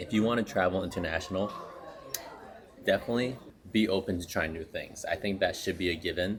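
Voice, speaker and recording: A man with a fairly low pitch, speaking very fast with fairly even intonation and long, frequent pauses, over noticeable background noise. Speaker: travel vlogger. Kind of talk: casual vlog narration. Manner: speaking quietly.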